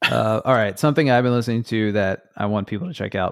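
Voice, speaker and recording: This man speaks with an American accent. His pitch is fairly low, with ordinary variation. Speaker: musician in a band. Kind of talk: casual interview chat. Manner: halting, many fillers and restarts.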